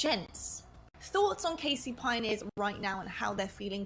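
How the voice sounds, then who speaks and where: A woman with a British accent speaks at a moderate pace over noticeable background noise. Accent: British, still there. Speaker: esports broadcast host. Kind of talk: live esports panel commentary.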